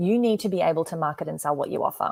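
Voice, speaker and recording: In an Australian accent, a woman speaks fairly quickly with an energetic tone, lively intonation and medium pitch. The sound is dry and close, with no echo. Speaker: business coach. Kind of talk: live webinar presentation.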